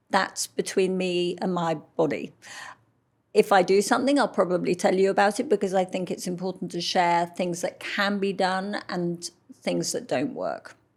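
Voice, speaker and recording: In a London accent, a woman speaks at medium pitch and a moderate pace with ordinary pitch variation, on a very clean recording with a silent background. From London, England. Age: 60s. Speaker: model. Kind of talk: interview.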